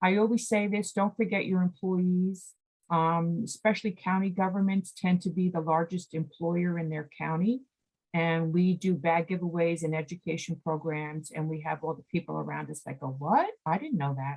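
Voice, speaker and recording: A woman with a fairly low pitch and a somewhat breathy voice speaks at a moderate pace, with ordinary pitch variation. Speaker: executive director of a state environmental nonprofit, presenter. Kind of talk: presentation at a committee meeting.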